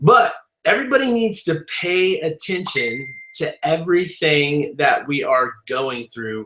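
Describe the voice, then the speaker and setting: A man talks at a high pitch with very wide pitch swings and an animated tone. He goes at a fairly slow pace. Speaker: online marketing webinar host. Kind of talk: live webinar presentation. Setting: live stream webinar.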